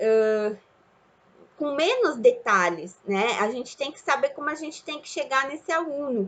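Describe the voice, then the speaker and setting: Lively intonation marks a voice moving at a very slow pace. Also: woman. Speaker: teacher. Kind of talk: lecture. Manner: halting.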